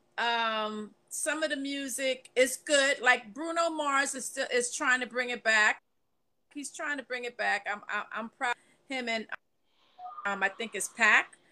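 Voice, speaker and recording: In a New York accent, a woman with a high pitch and a bright, sharp tone speaks at a fairly slow pace. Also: ordinary pitch variation. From New York, the Bronx. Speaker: panelist. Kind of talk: casual chat. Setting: video call.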